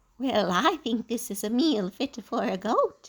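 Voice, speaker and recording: Moderate pace in a put-on character voice. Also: woman, fairly high pitch for a woman. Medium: read story.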